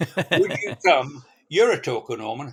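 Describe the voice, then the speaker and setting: Putting on a croaky character voice, a man speaks at a fairly slow pace with a fairly high pitch and very wide pitch swings. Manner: pathetic, weak, pleading.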